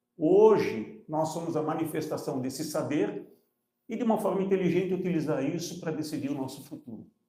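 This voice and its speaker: Fairly high for a man, his voice moves at a fairly quick clip with ordinary pitch variation. Audible room echo surrounds the recording. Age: 70s. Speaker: entrepreneur. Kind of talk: panel discussion.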